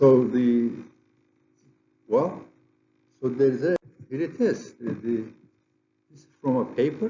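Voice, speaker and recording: With a strong Turkish accent, a man of medium pitch speaks at a fairly slow pace with long, frequent pauses, ordinary pitch variation and big swings in loudness. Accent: heavy Turkish. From Turkey. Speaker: geophysicist, conference presenter. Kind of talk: lecture. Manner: halting, with frequent repetitions and fillers.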